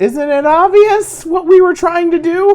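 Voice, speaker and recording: A squeaky, extremely high-pitched put-on character voice speaks at a fairly slow pace. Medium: actual play. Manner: fearful yet fanatical.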